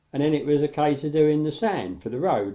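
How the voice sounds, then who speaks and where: This recording is very clean, with a silent background. A dark, mellow tone marks the voice. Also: man. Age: 70s. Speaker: model railway hobbyist. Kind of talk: tutorial. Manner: casual, halting.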